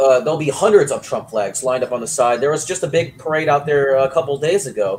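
Very fast speech from a man with a fairly high pitch, hardly any pauses and noticeable background noise. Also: ordinary pitch variation. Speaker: guest sports and politics commentator. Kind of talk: casual opinionated chat on politics and sports. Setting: remote video call.

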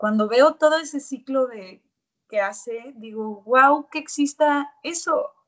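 A woman's high-pitched voice at a very slow pace, with ordinary pitch variation and big swings in loudness. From Mexico, Monterrey. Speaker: actress and singer. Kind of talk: casual interview. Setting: video call.

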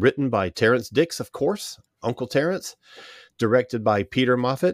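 Over a silent background in a very clean recording, a man talks at medium pitch. He keeps a moderate pace with lively intonation. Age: 60s. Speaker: podcast host. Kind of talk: casual chat.

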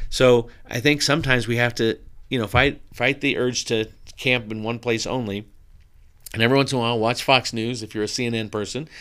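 A man with an American accent talks at a fairly quick pace and medium pitch in a monotone, flat delivery, recorded very cleanly against a silent background. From Southern California. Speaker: pastor. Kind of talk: interview conversation.

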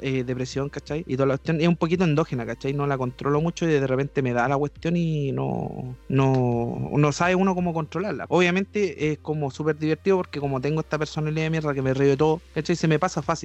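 A man with a Chilean accent talks at a very fast pace with hardly any pauses. His pitch is fairly high and his intonation fairly even. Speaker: podcast host. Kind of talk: casual chat.

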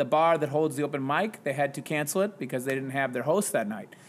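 A man speaks in a normal speaking voice, fairly high-pitched with ordinary pitch variation, on a very clean recording with a silent background. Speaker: high school English teacher. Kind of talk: casual conversation. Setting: home podcast recording with mic.

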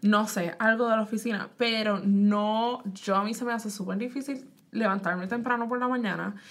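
A woman with a plain, everyday voice speaks at a moderate pace with hardly any pauses. Her pitch is fairly high, with fairly even intonation. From Puerto Rico. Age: 20s. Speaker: podcast host. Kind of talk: casual chat.

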